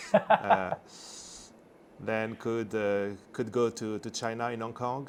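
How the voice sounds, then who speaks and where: Very slow, monotone delivery with flat intonation, in a French accent. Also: man, medium pitch for a man. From France. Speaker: semiconductor executive. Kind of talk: interview. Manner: halting, many fillers.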